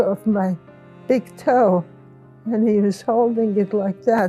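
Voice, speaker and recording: A woman talks with fairly level intonation while music plays in the background. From Poland. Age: 80s+. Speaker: Holocaust survivor. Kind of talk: interview answer.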